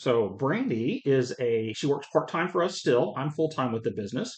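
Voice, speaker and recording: Speaking with a slight Southern US accent, a man at medium pitch uses lively intonation at a moderate pace against a quiet background. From South Carolina (Columbia area). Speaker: web design business owner. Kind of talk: casual interview chat. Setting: podcast studio.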